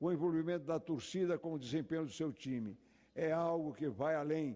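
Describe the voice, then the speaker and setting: Here the tone is dark and mellow, with pitch that varies in an ordinary way. Delivery comes at a fairly slow pace. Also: man. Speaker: politician. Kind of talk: formal speech. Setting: legislative chamber. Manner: formal.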